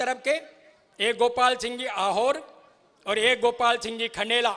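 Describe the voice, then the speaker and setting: Speaking in a raised, projected voice, a man sounds bright and sharp at an extremely high pitch. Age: 70s. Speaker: political party worker. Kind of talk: political rally speech. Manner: rhetorical, declamatory.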